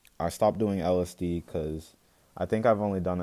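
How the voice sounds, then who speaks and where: A man with an American accent at a moderate pace, monotone and flat in intonation, on a very clean recording with a silent background. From North Carolina, US. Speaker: YouTuber sharing faith testimony. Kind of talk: testimony. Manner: halting.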